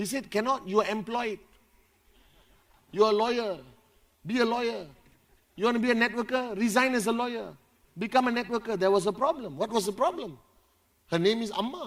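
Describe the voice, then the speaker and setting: A man speaks loudly at a high pitch and a fairly quick pace, in an animated tone. His pitch variation is ordinary, and he leaves long, frequent pauses. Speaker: motivational speaker at company event. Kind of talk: motivational speech. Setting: stage with audience.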